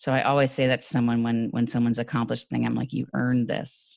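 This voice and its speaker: A woman with an American accent speaks very fast in a very deep, low voice with vocal fry. Her intonation is fairly even, and the background is quiet. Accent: New York accent, noticeable at times. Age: 40s. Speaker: actor and podcast guest. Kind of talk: interview conversation.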